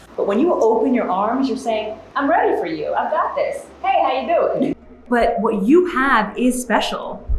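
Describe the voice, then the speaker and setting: Her high voice swings very widely in pitch as this woman talks at a moderate pace against noticeable background noise. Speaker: keynote speaker and TV journalist. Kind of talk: motivational keynote speech. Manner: lively, genuine; eloquent.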